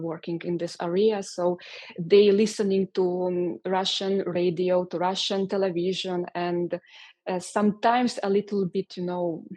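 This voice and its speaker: A woman speaks in a medium pitch with a Hungarian accent. Her pace is fairly slow. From Transcarpathia, western Ukraine. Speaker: composer and music teacher. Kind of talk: interview. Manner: halting, with many fillers and repetitions.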